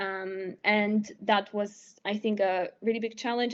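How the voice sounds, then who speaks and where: A woman speaks with a Polish accent at a fairly high pitch. Her intonation is monotone and flat. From Poland. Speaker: medical student. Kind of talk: interview. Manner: halting, many fillers.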